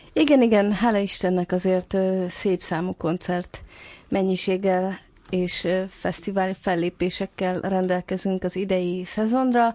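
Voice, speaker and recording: A dark, mellow tone moves at a fairly slow pace with fairly even intonation over a quiet background. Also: woman, medium pitch for a woman. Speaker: musician. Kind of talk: interview.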